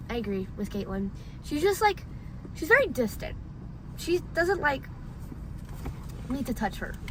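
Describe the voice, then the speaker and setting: A woman projects a raised, high voice with very wide pitch swings. Background noise is noticeable. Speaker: friend. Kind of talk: casual chat. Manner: loud.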